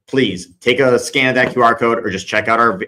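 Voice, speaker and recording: This man talks at a medium pitch with a bright, sharp tone. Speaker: speakers' agent and company CEO. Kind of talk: live-streamed talk with audience Q&A. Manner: fast.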